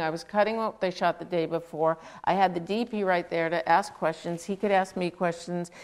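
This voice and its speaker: The woman has a normal speaking voice at a medium pitch. She talks at a fairly quick pace with ordinary pitch variation. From Queens, New York. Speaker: film editor. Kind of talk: interview on stage.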